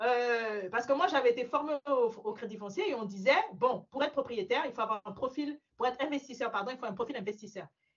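A woman's high-pitched voice with a slight African accent, lively intonation and a fairly quick pace. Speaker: mortgage broker. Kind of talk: interview.

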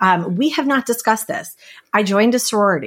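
On a very clean recording with a silent background, a woman talks with ordinary pitch variation. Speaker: guest. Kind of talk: casual interview chat. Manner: loud, fast talker, expressive.

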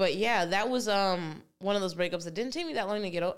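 At a moderate pace, a woman speaks in an ordinary speaking voice with medium pitch. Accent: American. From New Jersey. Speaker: stand-up comedian and podcast host. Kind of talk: casual chat.

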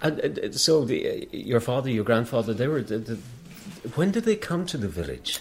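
A man talks with an Irish accent. His pace is moderate. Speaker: oral history interviewer. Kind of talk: interview. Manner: halting.

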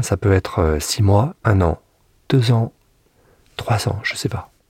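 A somewhat breathy man's voice, fairly low in pitch, at a fairly slow pace with long, frequent pauses. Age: 50s. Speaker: former prison inmate. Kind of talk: testimony. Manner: halting.

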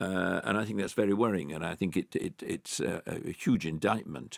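In a very clean recording with a silent background and a dry, close sound with no echo, a man with vocal fry speaks at a moderate pace with ordinary pitch variation. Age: 80s+. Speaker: private investor. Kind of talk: interview. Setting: studio. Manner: halting, many fillers and repeats.

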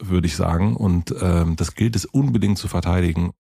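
Recorded very cleanly with a silent background, a man speaks in a dark, mellow, somewhat breathy tone with lively intonation. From East Berlin, former GDR. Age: 40s. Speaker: podcast host. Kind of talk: casual chat.

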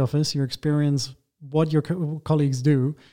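A man with a fairly high pitch and a dark, mellow tone speaks at a moderate pace. The recording is very clean, with a silent background. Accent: German. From Germany. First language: German. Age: 30s. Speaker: architect and interior design lead. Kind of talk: interview. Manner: halting, many fillers.

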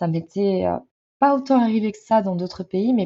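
Medium-pitched woman with an ordinary speaking voice, at a moderate pace. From France. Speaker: traveller. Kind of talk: interview. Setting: remote call.

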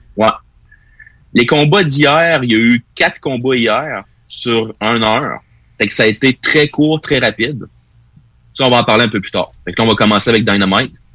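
Here a man has a bright, sharp tone at medium pitch with ordinary variation. His pace is moderate, broken by long, frequent pauses. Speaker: wrestling pundit. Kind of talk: casual chat.

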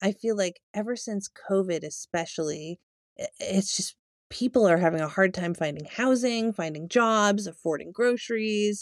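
A woman talks in an ordinary speaking voice at a medium pitch with ordinary pitch variation, the sound dry and close with no echo. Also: moderate pace. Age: 40s. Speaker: podcast co-host. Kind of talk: casual chat.

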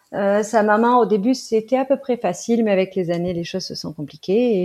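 Her tone dark and mellow, a woman speaks at a fairly slow pace with lively intonation. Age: 30s. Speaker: mother. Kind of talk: interview testimony. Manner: hesitant with fillers.

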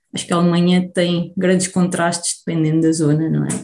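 Somewhat breathy and dark, mellow in tone, a woman speaks at a medium pitch and moderate pace. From Portugal, Beira Baixa. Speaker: immunologist researcher. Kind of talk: interview. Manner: halting.

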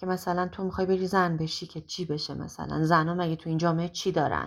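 Speaking at a very fast pace, a woman with a fairly low pitch comes through on a very clean recording with a silent background. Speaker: singer. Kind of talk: testimony.

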